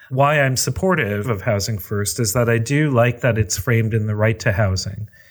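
A man's speech, with ordinary pitch variation, is heard against noticeable background noise. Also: medium pitch for a man, moderate pace. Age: 40s. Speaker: housing nonprofit executive director. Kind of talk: interview.

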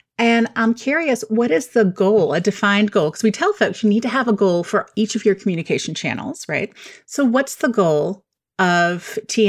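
In a very clean recording with a silent background, a woman speaks in an ordinary speaking voice, fairly high in pitch, with lively intonation at a moderate pace. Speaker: podcast host and communicator. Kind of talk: casual interview chat.

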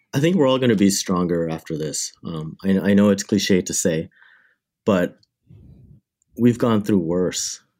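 A man with a Canadian accent, a fairly low pitch and a dark, mellow tone, ordinary pitch variation, long, frequent pauses, on a very clean recording with a silent background. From Canada, Windsor, Ontario. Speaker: cinematographer and lens company founder. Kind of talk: interview.

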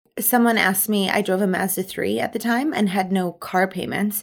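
In a very clean recording with a silent background, a woman speaks in an animated tone. Her pitch is medium, with a slight Canadian Prairie accent. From Manitoba, Canada. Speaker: charity founder, event planner. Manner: loud, animated, assertive.

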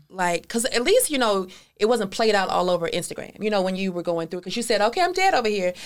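Talking at a very fast pace, a woman uses an animated tone at medium pitch with ordinary pitch variation. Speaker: podcast host and personal brand coach. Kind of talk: casual interview.

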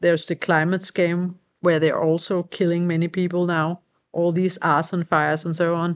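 The recording is very clean, with a silent background. A woman speaks at a moderate pace in a monotone, flat delivery. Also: fairly low pitch for a woman. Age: 40s. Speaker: emergency doctor. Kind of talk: interview. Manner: halting.

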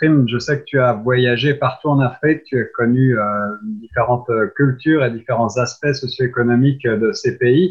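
A somewhat breathy man talks at medium pitch and a fairly slow pace with ordinary pitch variation. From France. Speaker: radio host. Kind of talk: radio interview. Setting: radio studio.

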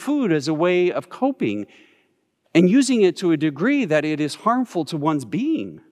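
A man speaks with a high pitch. His voice swings very widely in pitch. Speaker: pastor. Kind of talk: sermon. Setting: pre-recorded video shown in church.

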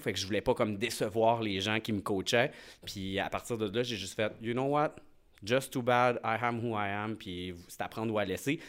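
A normal speaking voice from a man, fairly low in pitch, with fairly even intonation at a moderate pace. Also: very clean recording, silent background. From Quebec, Lac-Saint-Jean. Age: 30s. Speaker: hair salon owner and reality TV alumnus. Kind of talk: casual interview, personal testimony. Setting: studio.

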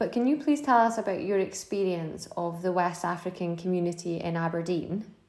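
A woman talks fairly quickly with hardly any pauses, in an ordinary speaking voice. Her pitch is medium with ordinary pitch variation. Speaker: podcast host, regional manager. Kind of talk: interview, polite.

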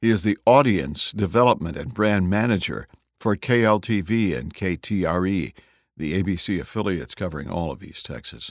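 Very deep and low, this man's voice carries vocal fry at a moderate pace. Silent background, very clean recording. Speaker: podcast host. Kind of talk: podcast intro and outro narration.

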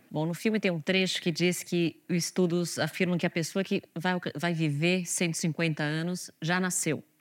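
A woman talks with hardly any pauses, very even loudness, a fairly low pitch and monotone, flat intonation, captured on a very clean recording with a silent background. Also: fairly slow pace. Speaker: journalist and editor. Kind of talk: interview.

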